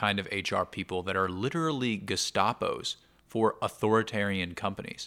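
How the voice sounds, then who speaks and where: The man's voice sits at a fairly low pitch and has a bright, sharp tone. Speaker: podcaster. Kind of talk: casual monologue. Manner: calm.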